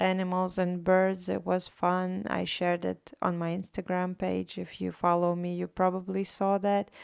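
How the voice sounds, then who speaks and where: A woman with a Latvian accent at a medium pitch. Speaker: artist vlogger. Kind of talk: casual vlog monologue. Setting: recorded at home late at night.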